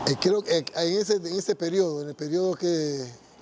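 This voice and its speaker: A man moves at a moderate pace, his pitch varying in an ordinary way, while noticeable background noise sits underneath. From Panama, Panama City. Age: 60s. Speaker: church member giving testimony. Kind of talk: testimony. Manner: halting, with false starts and repetitions.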